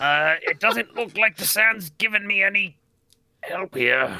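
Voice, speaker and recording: A man does a put-on character voice that is raspy and high in pitch. He talks at a fairly slow pace with lively intonation. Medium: actual play.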